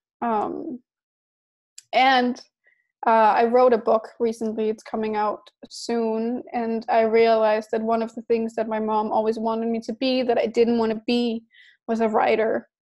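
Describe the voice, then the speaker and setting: This woman speaks with a Danish accent. Her fairly high voice holds a fairly even intonation. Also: moderate pace. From Denmark. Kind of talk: interview.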